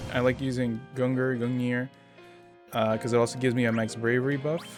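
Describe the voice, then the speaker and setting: Over music in the background, the voice moves at a fairly quick pace with monotone, flat intonation. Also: man, medium pitch for a man. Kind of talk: gameplay commentary. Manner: hesitant, with stutters and filler sounds.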